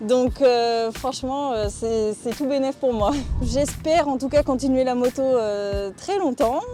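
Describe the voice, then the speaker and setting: Noticeable background noise sits behind a woman speaking at a fairly slow pace. Her pitch is high, with ordinary pitch variation. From Brittany, France (Guingamp). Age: 20s. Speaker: motorcyclist. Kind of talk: casual personal presentation. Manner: hesitant, many fillers.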